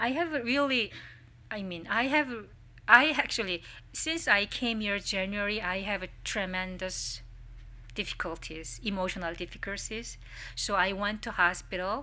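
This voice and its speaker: Bright and sharp in tone, a woman speaks at a medium pitch with lively intonation, in a Korean accent. The recording is very clean, with a silent background. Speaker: social welfare professor, symposium presenter. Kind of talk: academic presentation. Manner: halting.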